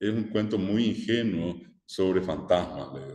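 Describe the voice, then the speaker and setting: Speaking at a fairly slow pace with a Paraguayan accent, a man has a fairly low pitch and a dark, mellow tone. Audible room echo surrounds his voice. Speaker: teacher. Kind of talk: lecture.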